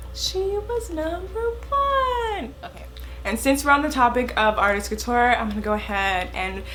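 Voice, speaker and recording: The woman's delivery is fairly slow. Audible room echo can be heard on her speech. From California. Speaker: beauty vlogger. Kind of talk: product review. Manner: casual, chatty.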